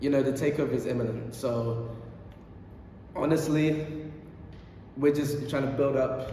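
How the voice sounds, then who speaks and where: Speaking at a fairly high pitch, a man is heard with audible room echo. Noticeable background noise is also present. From Barbados. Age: young. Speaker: YouTuber, teaching assistant. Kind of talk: casual Q&A video monologue. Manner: halting, many fillers and repeats.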